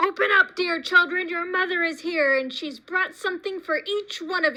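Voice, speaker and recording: A woman uses a put-on character voice, gruff and extremely high in pitch. She keeps a moderate pace. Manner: deceptive, sweetly coaxing.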